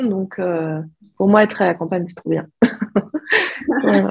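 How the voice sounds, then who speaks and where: A woman speaks at a medium pitch. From southeastern France (Alpes-de-Haute-Provence). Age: 30s. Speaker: hand-dyed yarn maker. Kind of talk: interview. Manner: hesitant, many fillers.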